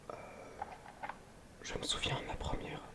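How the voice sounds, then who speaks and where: There is a whispering man. Noticeable noise sits in the background. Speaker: ASMR creator. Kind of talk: ASMR meditation and sleep talk. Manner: whispered, soft-spoken, slow.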